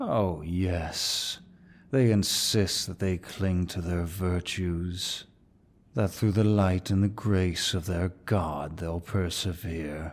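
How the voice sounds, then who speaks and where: Putting on a character voice, a man speaks at a very slow pace with a very deep, low pitch in a very clean recording with a silent background. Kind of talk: ASMR roleplay. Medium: solo performance. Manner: dominant, mocking, unhurried.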